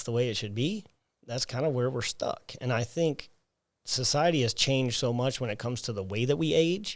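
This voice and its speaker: In a Southern US accent, a man speaks at a moderate pace with medium pitch and ordinary pitch variation. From US South, South Alabama. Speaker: personal trainer, gym owner. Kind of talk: interview. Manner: animated.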